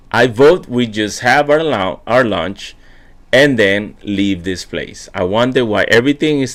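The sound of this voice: Unforced voice reading out loud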